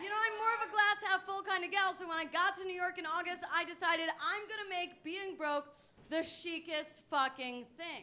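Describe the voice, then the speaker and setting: A woman uses a raised, projected voice at an extremely high pitch. She keeps a moderate pace with ordinary pitch variation. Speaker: stand-up comedian. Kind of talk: stand-up. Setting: stage with audience.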